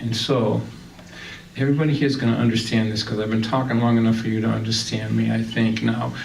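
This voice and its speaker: Speaking very fast with a Boston accent, a man is heard with audible room echo and noticeable background noise. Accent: Boston-area New England. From Massachusetts, Lynn. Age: 60s. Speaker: singer-songwriter and storyteller. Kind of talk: stand-up storytelling. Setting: stage with audience. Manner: animated.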